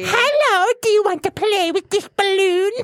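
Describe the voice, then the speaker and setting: A put-on character voice, female-sounding, at an extremely high pitch for a woman and a moderate pace. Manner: spooky, creepy.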